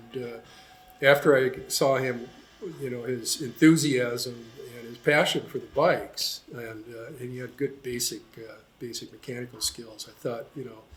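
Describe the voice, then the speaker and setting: Somewhat breathy, a man with an American accent speaks at a moderate pace and medium pitch, his intonation fairly even but his loudness swinging widely. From US Pacific Northwest, Seattle. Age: 70s. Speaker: motorcycle mechanic. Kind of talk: interview. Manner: relaxed, with many fillers.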